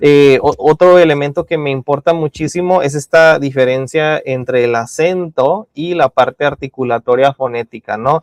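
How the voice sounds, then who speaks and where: Over a dry, close sound with no echo, a man speaks at a moderate pace with hardly any pauses, his fairly high pitch varying in an ordinary way. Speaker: university lecturer. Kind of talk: lecture. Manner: halting, many fillers and repetitions.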